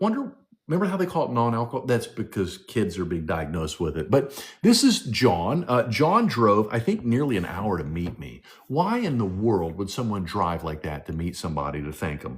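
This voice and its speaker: In a very clean recording with a silent background, a man with a fairly low, somewhat breathy voice talks at a moderate pace with very wide pitch swings. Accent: American. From West Virginia, Charleston area. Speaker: health coach livestream host. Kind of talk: live stream presentation. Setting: live stream with chat. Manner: animated.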